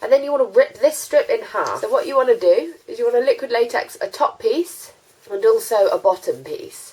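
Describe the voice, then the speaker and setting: In a British accent, a woman speaks at an extremely high pitch. Her pace is fairly quick and her pitch swings very wide. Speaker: beauty vlogger. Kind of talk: tutorial. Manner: casual, hesitant with fillers.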